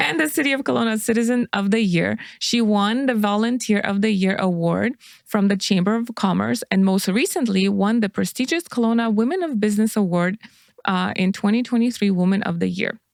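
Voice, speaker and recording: A woman talks fairly quickly with a non-native accent. Her pitch is medium and her loudness very even. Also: ordinary pitch variation. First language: not English. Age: 40s. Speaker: podcast co-host. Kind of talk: reading aloud. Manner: halting.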